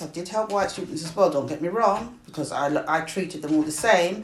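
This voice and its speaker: With a British accent, a woman speaks at a fairly low pitch with ordinary pitch variation. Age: 60s. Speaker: retired teacher. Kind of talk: family interview, life story.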